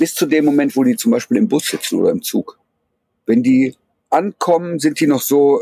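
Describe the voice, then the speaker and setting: Delivered at a moderate pace, the dark, mellow voice has very wide pitch swings and very even loudness in a dry, close sound with no echo. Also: man, fairly high pitch for a man. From Germany, Ruhr area (Duisburg). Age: 40s. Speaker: photojournalist. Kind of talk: interview, eyewitness account. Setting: video call from Poland. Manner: hesitant, many fillers.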